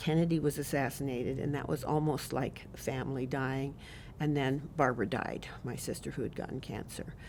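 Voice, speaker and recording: Her pitch very deep and low, a woman speaks with ordinary pitch variation. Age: 70s. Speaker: elder telling life story. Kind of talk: life story interview.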